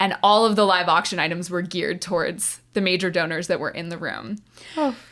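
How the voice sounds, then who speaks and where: Recorded very cleanly against a silent background, a woman speaks in an ordinary speaking voice, with medium pitch and ordinary pitch variation. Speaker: non-profit auctioneer. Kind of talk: interview answer. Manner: lighthearted, conversational.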